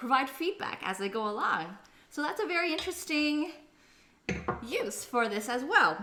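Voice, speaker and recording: A woman speaks with very wide pitch swings. Her voice carries audible room echo. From Canada. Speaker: cooking livestreamer. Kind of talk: live cooking stream chat.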